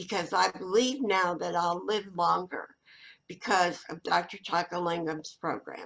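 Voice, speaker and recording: Vocal fry runs through a woman's fairly low voice as she speaks at a fairly slow pace. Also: ordinary pitch variation. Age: 80s+. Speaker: participant. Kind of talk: casual chat.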